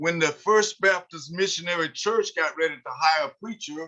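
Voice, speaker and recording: A man's high-pitched voice, bright and sharp in tone, moves at a moderate pace. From eastern Kentucky, Harlan County (Appalachia). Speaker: author and sociologist. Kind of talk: online history talk. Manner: halting, many filler sounds.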